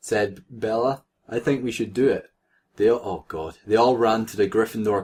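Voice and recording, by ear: Reading aloud in a natural voice, with ordinary pitch variation against a quiet background.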